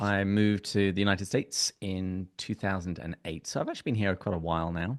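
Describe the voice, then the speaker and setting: Against a quiet background, a man with an English accent talks at a fairly quick pace with hardly any pauses, in a dry, close sound with no echo. His pitch is fairly low and his intonation fairly even. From England. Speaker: podcast guest, software engineer and podcast host. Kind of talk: casual chat.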